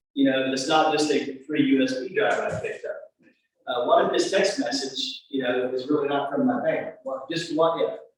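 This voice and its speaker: A man speaks at a moderate pace, and audible echo from the room accompanies his voice. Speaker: cybersecurity presenter. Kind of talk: presentation to live audience.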